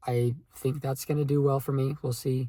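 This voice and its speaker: The voice is somewhat breathy and moves at a fairly slow pace with monotone, flat intonation. The recording is very clean, with a silent background. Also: man. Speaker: aspiring content creator vlogger. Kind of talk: casual vlog monologue. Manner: slow with pauses; hesitant, many fillers.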